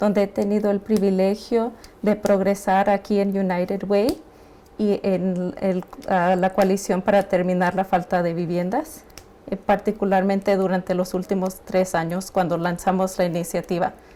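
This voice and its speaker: The intonation stays fairly even. Loudness is very even throughout. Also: woman, medium pitch for a woman. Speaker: homelessness nonprofit worker. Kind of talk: class presentation. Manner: halting.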